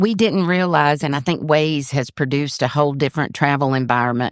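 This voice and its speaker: A woman at a fairly quick pace, very deep and low in pitch, with very even loudness on a very clean recording with a silent background. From US South, Georgia (Forsyth County). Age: 60s. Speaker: retired county commissioner. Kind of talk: casual interview chat.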